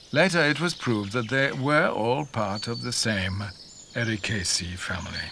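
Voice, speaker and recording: Noticeable background noise runs under a man's voice. He speaks at a moderate pace with very wide pitch swings. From Yorkshire. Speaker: narrator. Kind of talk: documentary narration.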